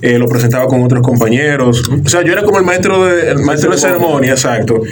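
A man talks at a very fast pace with a medium pitch. There is audible room echo and noticeable background noise. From Dominican Republic, La Romana. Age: 30s. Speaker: radio announcer and content producer. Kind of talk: interview conversation.

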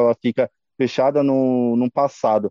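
A man with a plain, everyday voice talks at medium pitch with fairly even intonation. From Brazil, Mauá, São Paulo state. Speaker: punk rock band vocalist. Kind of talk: casual interview.

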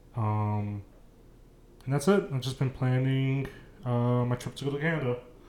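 Through noticeable background noise, a man with a medium pitch and ordinary pitch variation talks at a moderate pace with long, frequent pauses. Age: 20s. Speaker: podcast co-host. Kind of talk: casual chat.

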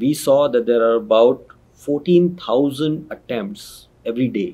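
A man's dark, mellow tone rises and falls with lively intonation. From northern India. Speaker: startup founder. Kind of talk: interview.

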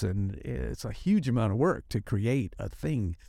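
A man speaks at a moderate pace in a medium pitch, his tone dark and mellow, on a very clean recording with a silent background. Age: 60s. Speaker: bubble artist. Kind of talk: casual interview. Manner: rambling, filler-heavy.

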